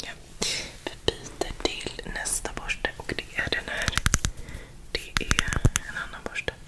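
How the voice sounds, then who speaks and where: The pace is fairly slow. A woman whispers. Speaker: ASMR creator. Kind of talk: soft whispered ASMR talk. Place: home room. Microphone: studio mic.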